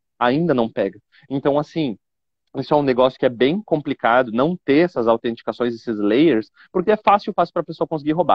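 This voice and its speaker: Speaking at a fairly quick pace, a man uses lively intonation in a fairly high voice. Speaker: information security expert. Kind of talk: live stream interview. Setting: airport. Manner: fast; didactic.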